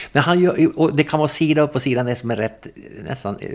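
A man talks with vocal fry. His pitch swings very widely. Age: 60s. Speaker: political scientist and newspaper editor. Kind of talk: interview.

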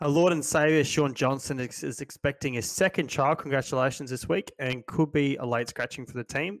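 A fairly quick man's voice with an Australian accent, ordinary pitch variation and a dry, close sound with no echo. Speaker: stats analyst co-host. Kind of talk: casual podcast chat about fantasy league.

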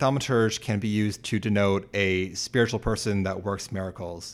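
A man with a normal speaking voice, fairly low in pitch, at a moderate pace with fairly even intonation, on a very clean recording with a silent background. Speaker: co-host and researcher. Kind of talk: casual chat.

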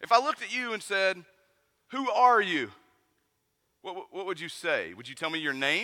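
In a Southern Appalachian accent, a raised, projected voice with a bright, sharp tone carries at a moderate pace. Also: man. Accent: Southern Appalachian (says 'et' for 'at'). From US South, East Tennessee mountains. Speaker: pastor. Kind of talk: sermon.

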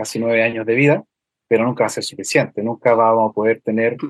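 A man's voice at medium pitch. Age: 30s. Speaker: university lecturer and road safety educator. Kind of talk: radio interview.

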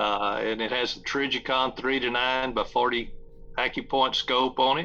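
A man with an American accent speaks at a medium pitch and a fairly slow pace, in a bright, sharp tone with monotone, flat intonation. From Texas. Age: 60s. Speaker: game call maker and hunting TV host. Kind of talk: casual interview chat.

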